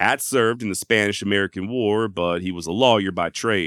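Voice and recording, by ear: A text is read aloud in a natural voice.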